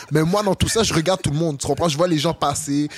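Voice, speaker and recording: Through noticeable background noise, a man speaks very fast at a fairly high pitch. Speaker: football player. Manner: intense.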